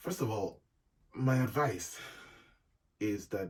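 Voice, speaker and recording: The voice belongs to a man and is somewhat breathy. His pitch varies in an ordinary way. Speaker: YouTube vlogger. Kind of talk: casual advice monologue.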